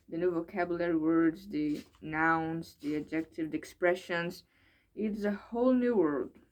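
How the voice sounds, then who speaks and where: Speaking with a Brazilian accent, a woman talks at a moderate pace in a fairly low voice with ordinary pitch variation. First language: Portuguese. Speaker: English learner vlogger. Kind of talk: casual vlog monologue. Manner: halting, hesitant with repetitions.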